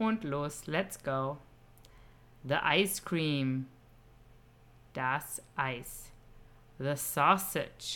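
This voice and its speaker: Speaking at a very slow pace with long, frequent pauses, a woman uses a very deep, low pitch, a bright, sharp tone and ordinary pitch variation. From Germany. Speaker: German teacher for children. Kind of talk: children's language lesson. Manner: slow and clear, with repetitions.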